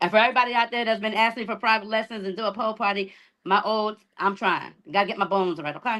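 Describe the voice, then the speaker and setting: The voice has a bright, sharp tone and fairly even intonation. It moves at a very fast pace. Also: woman, fairly high pitch for a woman. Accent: American. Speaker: influencer and pole dance instructor. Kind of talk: casual chat.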